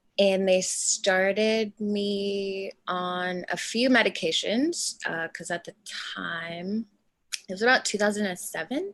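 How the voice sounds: A woman at a slow pace, medium pitch for a woman, ordinary pitch variation and a fairly bright tone.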